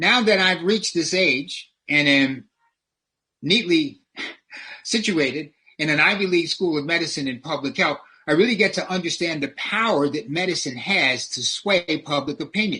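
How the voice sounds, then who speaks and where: With an American accent and a bright, sharp tone, a man speaks at a moderate pace, his pitch high for a man and his intonation lively. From US South (New Orleans, Louisiana). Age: 70s. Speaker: public health professor. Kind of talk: lecture. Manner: preacher-like, sermon-style delivery.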